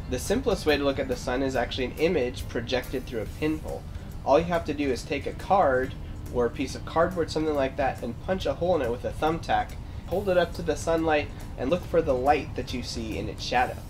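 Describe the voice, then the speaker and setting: A man talking at a very fast pace over background music. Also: ordinary pitch variation. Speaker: science educator. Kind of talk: tutorial. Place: garden.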